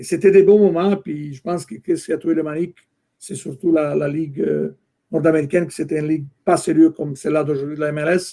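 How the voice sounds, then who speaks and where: A man with a non-native accent, dark, mellow tone, fairly quick pace, fairly even intonation. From Italy. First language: Italian (speaking French). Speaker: soccer executive, former fan club president. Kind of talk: interview. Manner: halting.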